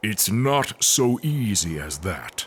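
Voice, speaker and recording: A man's put-on character voice at medium pitch, with very wide pitch swings. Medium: audio drama. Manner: solemn, grave.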